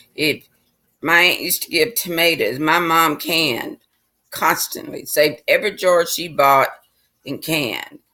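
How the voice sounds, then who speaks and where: In a Southern US accent, a woman speaks at a fairly slow pace with a fairly low pitch, ordinary pitch variation and a bright, sharp tone. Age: 60s. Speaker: vlogger. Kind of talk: casual monologue.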